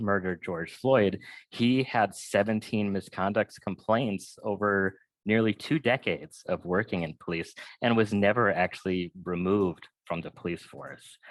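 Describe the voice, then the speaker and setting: Against a quiet background, a man speaks in an ordinary speaking voice with a fairly low pitch, ordinary pitch variation and a moderate pace, the sound dry and close with no echo. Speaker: panel presenter, abolition advocate. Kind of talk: webinar panel talk.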